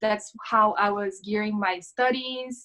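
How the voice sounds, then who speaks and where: In a Portuguese accent, a woman speaks at a fairly high pitch. Her intonation stays fairly even. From Brazil, São Paulo state. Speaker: yoga instructor, former lawyer. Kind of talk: casual interview.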